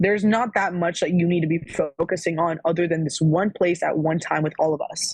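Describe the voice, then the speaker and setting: With an American accent, a woman speaks at a fairly quick pace and fairly low pitch, somewhat breathy, her intonation fairly even. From Florida. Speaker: former college athlete. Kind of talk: casual chat.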